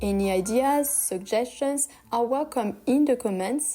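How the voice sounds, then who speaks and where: A woman with a French accent, ordinary pitch variation and music in the background. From France. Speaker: craft youtuber. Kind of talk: scripted channel introduction. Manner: friendly, enthusiastic.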